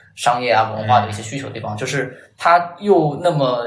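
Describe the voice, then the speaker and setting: Amid noticeable background noise and audible room echo, a man speaks at a fairly quick pace. His pitch is medium, with ordinary variation. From Chongqing, China. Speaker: designer. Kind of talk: casual chat.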